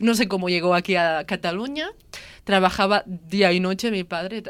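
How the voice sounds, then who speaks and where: With an unremarkable speaking voice, a woman talks at medium pitch with ordinary pitch variation. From Lleida, Catalonia. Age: 20s. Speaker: daughter of immigrants. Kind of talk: testimony.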